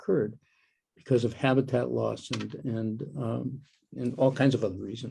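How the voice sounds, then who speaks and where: A man talks at a medium pitch with a dark, mellow tone and fairly even intonation. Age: 80s+. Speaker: soundscape ecologist. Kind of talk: Q&A interview. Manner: halting.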